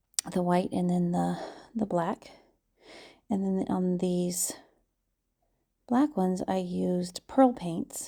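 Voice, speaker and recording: A woman speaking at a very slow pace, with long, frequent pauses. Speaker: resin artist. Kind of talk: craft tutorial voice-over. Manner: casual, hesitant.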